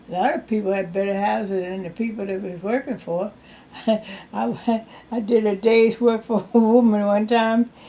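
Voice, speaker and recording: This woman has a fairly high pitch and a dark, mellow tone. She keeps a moderate pace and fairly even intonation. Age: 80s+. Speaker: retired domestic worker. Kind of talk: interview answer.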